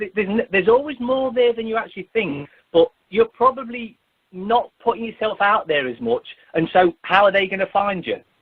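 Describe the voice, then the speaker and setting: Loud speech with lively intonation. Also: man. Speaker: activist. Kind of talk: radio interview.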